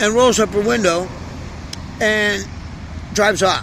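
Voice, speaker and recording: There is noticeable background noise as a man speaks at a moderate pace with a high pitch. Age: 60s. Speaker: homeless vlogger. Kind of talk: casual monologue. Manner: animated.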